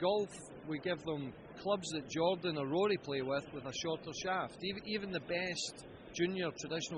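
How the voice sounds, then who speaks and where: A man speaks with high pitch and ordinary pitch variation. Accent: Scottish. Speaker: golf club company founder. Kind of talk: interview answer.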